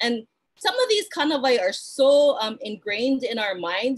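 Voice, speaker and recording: A woman's high-pitched voice with a Hawaiian accent. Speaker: cultural practitioner. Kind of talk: online talk. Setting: live stream. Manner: fast.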